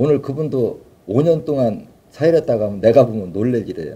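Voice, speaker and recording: A man at a medium pitch talks with very wide pitch swings. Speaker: alternative health therapy founder and lecturer. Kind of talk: live lecture. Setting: live stream. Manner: fast.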